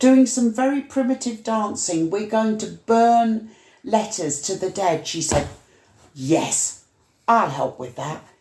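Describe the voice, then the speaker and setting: Speaking very slowly, a woman uses a fairly high pitch with very wide swings and a dark, mellow tone. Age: 70s. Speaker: community activist. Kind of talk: casual chat.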